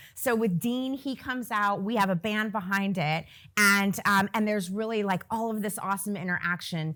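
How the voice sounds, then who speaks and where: On a very clean recording with a silent background, a woman with a plain, everyday voice speaks at a medium pitch and a moderate pace, with ordinary pitch variation. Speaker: nonprofit founder. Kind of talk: presentation.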